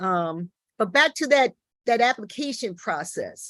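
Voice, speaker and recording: A woman with an American accent speaks with lively intonation. The sound is dry and close, with no echo. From US Midwest. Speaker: teaching artist. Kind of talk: panel discussion. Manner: halting, many fillers.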